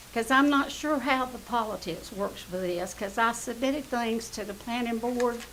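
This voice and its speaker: A woman with a Southern US accent speaks at a moderate pace and high pitch. Audible room echo and noticeable background noise can be heard. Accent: US South. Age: 70s. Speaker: resident speaking at public comment. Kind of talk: public comment at council meeting. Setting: council chamber.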